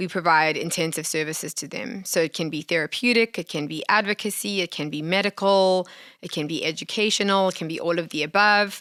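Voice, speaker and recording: Speaking fairly quickly with hardly any pauses, a woman uses a fairly low pitch, ordinary pitch variation and a bright, sharp tone, in a dry, close sound with no echo on a very clean recording with a silent background. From South Africa. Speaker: nonprofit founder. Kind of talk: interview.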